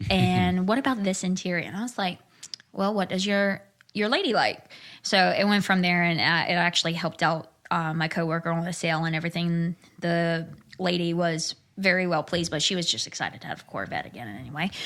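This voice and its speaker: With a Southern US accent, a woman speaks fairly quickly at a fairly low pitch with ordinary pitch variation in a very clean recording with a silent background. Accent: southern, Cumberland. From Central Virginia, Cumberland County. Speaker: car saleswoman, former correctional sergeant. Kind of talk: casual chat.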